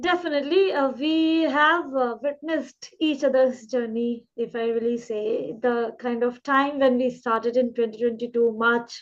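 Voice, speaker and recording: A woman with a high pitch speaks at a moderate pace using ordinary pitch variation. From India, Uttar Pradesh. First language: Indian regional language. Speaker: English trainer, channel host. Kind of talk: casual interview.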